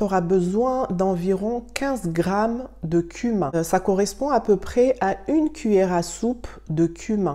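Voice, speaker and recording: Her delivery is fairly slow. The woman's intonation rises and falls in a lively way. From Mayotte. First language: Shimaore (Mayotte language) (speaking French). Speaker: beauty and wellness youtuber. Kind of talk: tutorial.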